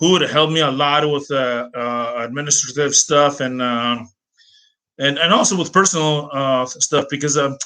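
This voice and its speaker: A man's fairly high, bright, sharp voice with an American accent, at a moderate pace with ordinary pitch variation. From Greece, Athens. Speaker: language teacher and translator. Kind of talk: personal story monologue. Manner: hesitant, many fillers.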